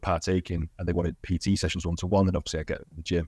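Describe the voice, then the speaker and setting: With a Cumbrian accent, a man speaks very fast in a very deep, low voice with a dark, mellow tone and monotone, flat intonation, recorded very cleanly against a silent background with a dry, close sound and no echo. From northern England, Cumbria (Barrow-in-Furness). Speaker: gym owner and fitness coach. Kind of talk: podcast interview.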